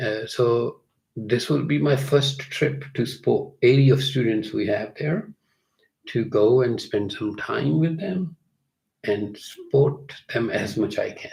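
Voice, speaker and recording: In a Punjabi accent, a somewhat breathy man speaks at a very slow pace with lively intonation. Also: medium pitch for a man. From India (Punjab). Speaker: music teacher and yoga master. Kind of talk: live Q&A conversation. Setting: livestream.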